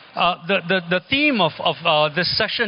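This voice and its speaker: The man's high-pitched voice moves at a moderate pace, with noticeable background noise around it. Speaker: architect and teacher. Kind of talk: lecture. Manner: halting, many fillers and repetitions.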